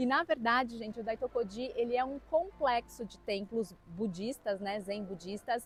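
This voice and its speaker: Ordinary pitch variation and a moderate pace mark this delivery in a normal speaking voice. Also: woman. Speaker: book youtuber. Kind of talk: travel vlog.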